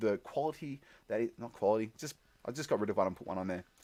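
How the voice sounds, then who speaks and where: On a very clean recording with a silent background, a man with an Australian accent talks at a very fast pace in an animated tone. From Tasmania, Australia. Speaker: musician streamer. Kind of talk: live stream chat. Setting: basement with green screen.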